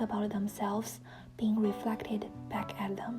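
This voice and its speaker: Music in the background accompanies a woman with a non-native accent speaking at a moderate pace and a fairly high pitch. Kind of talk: reading book quotes aloud (read-with-me, self-help).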